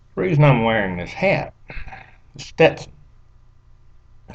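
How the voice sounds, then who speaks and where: A man is speaking. He has an American accent. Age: 60s. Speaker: local history storyteller. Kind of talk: casual monologue. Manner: halting.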